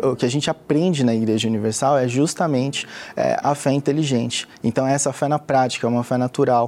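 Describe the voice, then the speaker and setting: Amid noticeable background noise, a man at medium pitch talks at a fairly quick pace with ordinary pitch variation and very even loudness. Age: 30s. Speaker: bank employee. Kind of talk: testimony.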